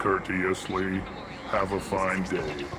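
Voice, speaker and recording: A man puts on a character voice at a very deep, low pitch over loud background noise. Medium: video game. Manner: slow, flat, names emotion before each line.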